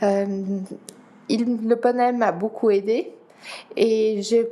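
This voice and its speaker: Fairly high in pitch, a woman speaks very slowly with a Dutch accent. Her intonation is fairly even. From Geneva, Switzerland. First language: Dutch (speaking French). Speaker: para-athlete. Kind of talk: interview.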